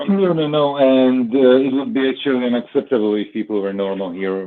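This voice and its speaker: At a fairly quick pace, a man talks with a medium pitch and lively intonation. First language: not English. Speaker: stream regular. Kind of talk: casual chat. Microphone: phone headset, sounds muffled.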